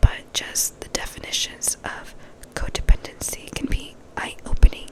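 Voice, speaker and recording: Whispering at a fairly slow pace, a woman comes through over noticeable background noise. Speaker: ASMR creator. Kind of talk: book passage reading. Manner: soft-spoken and whispered.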